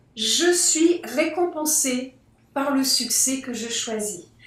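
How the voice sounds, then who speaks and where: Her lively intonation carries through audible room echo as the woman speaks. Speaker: globetrotter sharing life lessons. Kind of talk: podcast interview. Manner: hesitant, with fillers.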